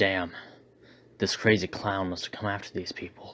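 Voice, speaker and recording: A man in a put-on character voice speaks with a very deep, low pitch and monotone, flat intonation. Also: moderate pace. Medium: read story. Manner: terse, wry.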